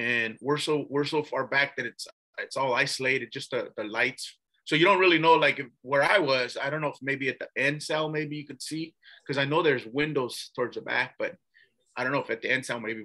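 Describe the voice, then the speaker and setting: A man with an American accent speaks at a fairly quick pace in a bright, sharp tone, his fairly high pitch held in fairly even intonation. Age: 60s. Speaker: former attorney, ex-prisoner. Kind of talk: interview storytelling. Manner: casual, with many fillers and repetitions.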